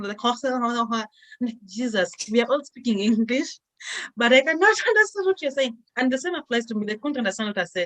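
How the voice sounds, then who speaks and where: A woman talks with a Kenyan accent. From Kenya, Kisumu. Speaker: international student, vlogger. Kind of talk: casual chat.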